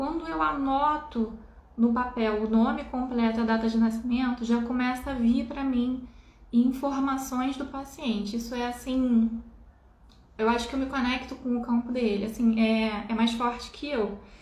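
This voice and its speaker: Through audible room echo, a woman speaks at a high pitch and a fairly slow pace. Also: fairly even intonation. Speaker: spiritual healer. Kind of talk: live stream talk. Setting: live stream.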